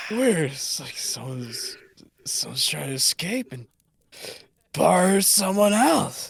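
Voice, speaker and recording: Raspy and put on, this character voice swings very widely in pitch and moves at a fairly slow pace with long, frequent pauses. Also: man, high pitch for a man. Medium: actual play.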